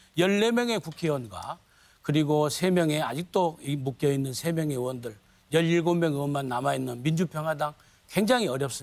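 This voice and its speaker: A man's fairly high voice keeps a moderate pace, its pitch varying in an ordinary way. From Jeolla, South Korea. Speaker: party leadership candidate. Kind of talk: debate opening statement. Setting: TV studio debate.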